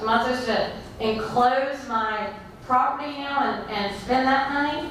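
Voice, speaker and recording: The loud voice moves at a fairly slow pace, with audible room echo and noticeable background noise. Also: woman. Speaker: resident at town hall. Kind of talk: public meeting question. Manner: halting.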